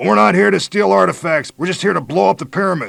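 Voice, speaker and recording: Putting on a raspy character voice, a man talks very fast at a fairly high pitch with very wide pitch swings. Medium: read story. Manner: blank, unemotional.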